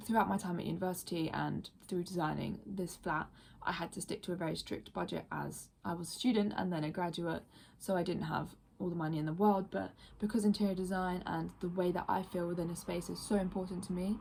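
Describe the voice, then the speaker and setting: A woman speaks with vocal fry. Her intonation is fairly even. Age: 20s. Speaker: design graduate and ceramicist. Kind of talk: video application pitch. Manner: casual with filler words.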